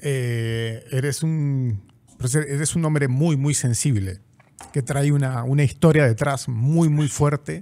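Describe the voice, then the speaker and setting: A man speaks at a very slow pace with a dark, mellow tone. His pitch is fairly high, with ordinary variation. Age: 50s. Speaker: podcast host. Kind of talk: interview, casual chat. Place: studio. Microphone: studio mic.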